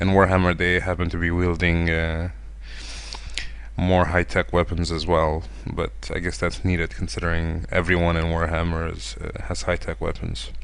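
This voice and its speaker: Lively intonation from a man with a very deep, low pitch, amid audible room echo and noticeable background noise. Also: moderate pace. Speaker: artist narrating drawing video. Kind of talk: tutorial. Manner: halting.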